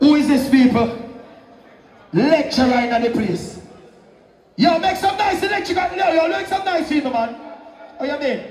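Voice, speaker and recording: Over noticeable background noise and audible room echo, a man with an extremely high pitch and an animated tone speaks at a moderate pace with lively intonation and long, frequent pauses. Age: 70s. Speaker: sound system selector. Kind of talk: live dancehall MC hype. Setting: live dance with crowd. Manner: loud.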